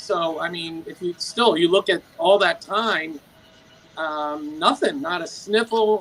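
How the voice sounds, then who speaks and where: A man's high-pitched, raised, projected voice at a fairly slow pace, with ordinary pitch variation and noticeable background noise. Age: 60s. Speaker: carnivore diet community member. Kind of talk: casual group chat. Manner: halting with fillers.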